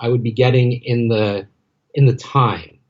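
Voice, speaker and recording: The voice belongs to a man. It comes across as somewhat breathy. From Los Angeles, US West Coast. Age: 40s. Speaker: MBA graduate, entertainment development professional. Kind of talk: podcast interview. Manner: some hesitations and repeated words.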